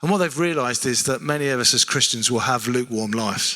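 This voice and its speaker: The speaker has a South London accent, a bright, sharp tone and ordinary pitch variation. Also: man. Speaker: preacher. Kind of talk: sermon.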